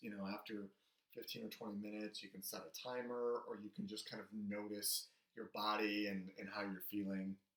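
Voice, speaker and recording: A man talks at a moderate pace at a fairly low pitch. He has an unremarkable speaking voice. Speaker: psychology professor. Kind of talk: recorded lecture. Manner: casual with fillers.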